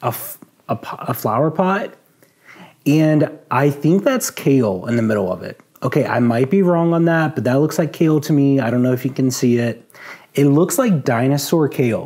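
Over a quiet background, the voice has a dark, mellow tone, a moderate pace and ordinary pitch variation. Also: man. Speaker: vlogger. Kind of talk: casual vlog chat. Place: home room. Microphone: lapel.

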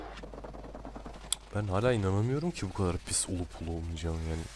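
Fairly quick speech with ordinary pitch variation against noticeable background noise. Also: man. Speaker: video creator. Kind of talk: casual video commentary. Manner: chatty, self-deprecating, laughs often.

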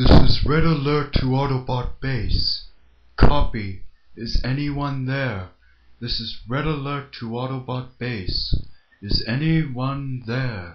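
A man puts on a character voice, talking fairly slowly at a medium pitch. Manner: formal, polite.

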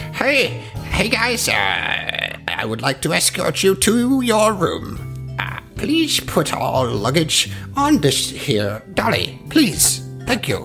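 Over clear background music, a man performs a put-on character voice at a very slow pace. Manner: polite, eager.

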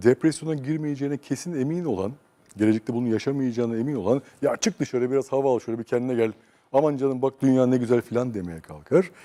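A man's dark, mellow voice at a medium pitch, very fast, with ordinary pitch variation and a dry, close sound with no echo. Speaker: psychosociologist. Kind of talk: interview. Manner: calm, quiet.

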